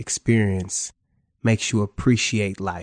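A man at fairly low pitch and very slow pace, fairly even in intonation, with a dry, close sound, no echo and a quiet background. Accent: American. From Cleveland, Ohio. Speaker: musician. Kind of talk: casual chat.

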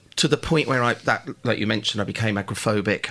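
A man talks over noticeable background noise. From Birmingham, England. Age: 50s. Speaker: hairdresser. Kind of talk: personal testimony.

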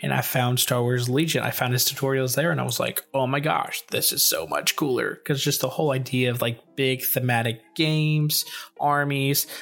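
Over noticeable background noise, a man speaks at a medium pitch with hardly any pauses. His intonation is fairly even and his loudness very even. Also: moderate pace. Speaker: podcast co-host. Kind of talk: casual chat.

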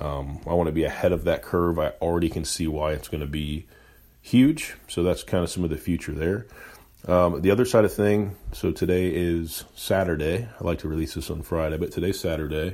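At a fairly quick pace, a man's very deep, low voice with a dark, mellow tone comes through on a very clean recording with a silent background. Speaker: podcast host and entrepreneur. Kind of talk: solo unedited monologue. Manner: monotone.

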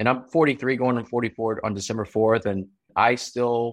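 A man's normal speaking voice, fairly low in pitch, fairly quick and fairly even in intonation, against a quiet background. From US, immigrant from Taiwan. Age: 40s. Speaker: entrepreneur. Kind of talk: interview.

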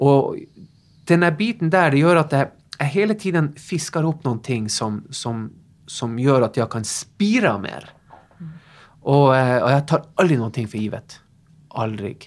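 Recorded very cleanly against a silent background, the speaker talks at a fairly slow pace with a Norwegian accent. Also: man, fairly high pitch for a man, lively intonation. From northern Norway. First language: Norwegian (speaking Swedish). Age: 40s. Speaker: fitness instructor. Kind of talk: interview.

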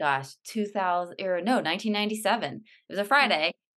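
A woman speaks with an American accent at a medium pitch and a fairly slow pace. Her tone is bright and sharp, and the background is quiet. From California. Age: 40s. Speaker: author and speaker. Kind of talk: casual interview.

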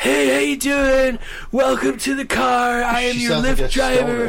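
At a fairly slow pace, a man puts on a raspy character voice over clear background noise. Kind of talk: friendly, chipper.

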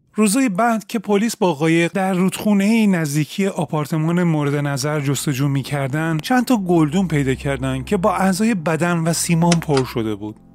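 The speech runs at a moderate pace with hardly any pauses and lively intonation over noticeable background noise. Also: man, high pitch for a man. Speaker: true crime podcaster. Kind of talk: true-crime narration. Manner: steady storytelling, grave and measured; fluent, formal written-style delivery.

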